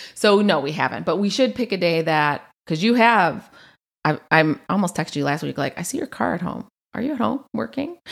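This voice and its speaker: On a very clean recording with a silent background, a woman with a fairly low pitch and vocal fry speaks at a fairly quick pace, her pitch swinging very widely. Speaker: podcast host. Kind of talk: casual chat.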